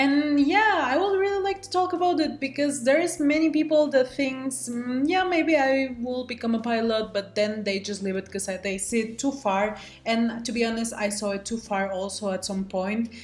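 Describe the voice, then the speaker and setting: A woman with a high pitch talks with hardly any pauses and very wide pitch swings. Noticeable background noise runs behind her. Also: moderate pace. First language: Spanish. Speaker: student pilot. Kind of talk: vlog self-introduction. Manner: casual, with frequent fillers.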